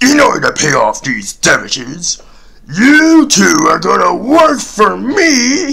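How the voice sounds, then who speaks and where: A man's cartoonish character voice at an extremely high pitch, delivered at a fairly slow pace. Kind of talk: comic cartoon parody voice. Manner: gruff, stingy, gloating.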